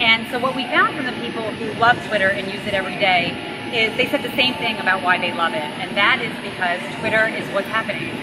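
A woman speaks at a fairly quick pace. Loud background noise is present. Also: ordinary pitch variation. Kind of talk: interview answer. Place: street.

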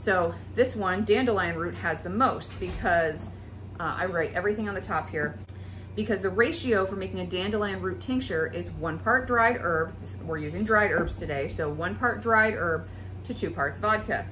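There is light background noise. Over it, a woman talks at a moderate pace. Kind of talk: tutorial. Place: kitchen.

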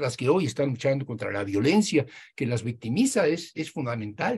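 A somewhat breathy man talks at a fairly quick pace. His pitch swings very widely. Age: 80s+. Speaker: professor and Marxist scholar; professor. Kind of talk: interview discussion, lecture-like explanation. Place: home room. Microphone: video call.

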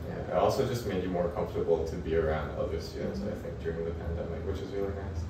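A man's very fast speech with audible room echo and noticeable background noise. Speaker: architecture graduate student, international student. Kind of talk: casual interview answer. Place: home room. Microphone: camera far.

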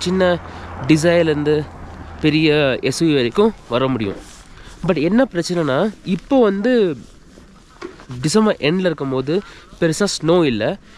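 Light background noise sits behind a man with a high pitch and lively intonation, and the sound is dry with no echo. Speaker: travel vlogger. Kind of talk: casual vlog chat with travel tips. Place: street. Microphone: phone near.

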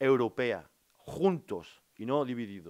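Against a quiet background, a man speaks with a French accent. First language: French (speaking Spanish). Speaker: politician, former steelworker; politician. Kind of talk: press conference. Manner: halting. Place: meeting room. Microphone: podium.

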